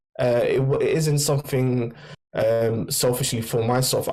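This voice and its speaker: A man with a medium pitch speaks in a London accent, with audible room echo. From London, England. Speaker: NFT merchandise creator. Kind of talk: casual interview. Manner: halting.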